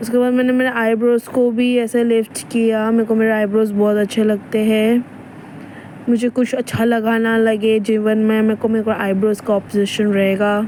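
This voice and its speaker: With noticeable background noise behind her, a woman speaks at a fairly high pitch in monotone, flat intonation and very even loudness. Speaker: vlogger. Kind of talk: casual vlog narration. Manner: casual, chatty.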